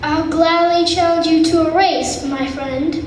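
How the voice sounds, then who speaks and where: A put-on character voice at a moderate pace, with a clear echo. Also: woman, extremely high pitch for a woman. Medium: stage play. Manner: calm, even.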